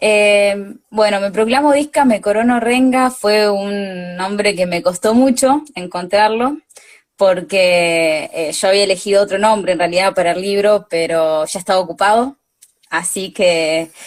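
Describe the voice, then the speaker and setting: At a fairly slow pace, a woman speaks in an ordinary speaking voice, her medium pitch showing ordinary variation. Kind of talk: live interview. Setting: video call.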